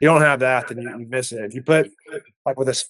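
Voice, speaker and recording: A man of medium pitch talks in a Texan accent. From Texas Hill Country. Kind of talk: casual podcast interview.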